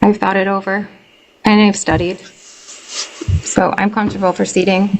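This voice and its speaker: This soft-spoken voice has an American accent. Its intonation stays fairly even. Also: woman. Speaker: tenant. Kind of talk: court testimony. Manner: hesitant. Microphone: too quiet, hard to hear.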